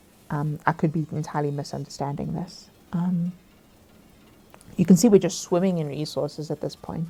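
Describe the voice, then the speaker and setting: At a moderate pace with long, frequent pauses, a woman speaks at a very deep, low pitch in a dark, mellow tone with vocal fry and fairly even intonation. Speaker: gameplay commentator. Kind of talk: gameplay commentary. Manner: halting, many fillers.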